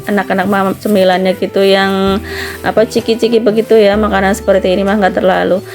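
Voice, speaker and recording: A woman's medium-pitched voice at a fairly quick pace, with fairly even intonation and music in the background. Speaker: vlogger, housewife. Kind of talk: vlog voiceover narration. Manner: casual, conversational.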